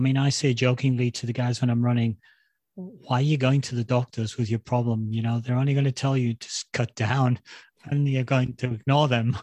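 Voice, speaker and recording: In a dry, close recording with no echo and a quiet background, a man of medium pitch talks at a fairly quick pace with a dark, mellow tone and monotone, flat intonation. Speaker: podcast host. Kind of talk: casual interview chat.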